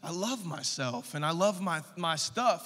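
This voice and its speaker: Against a quiet background, a man talks in a bright, sharp tone. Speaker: preacher. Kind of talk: sermon. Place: church. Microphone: handheld.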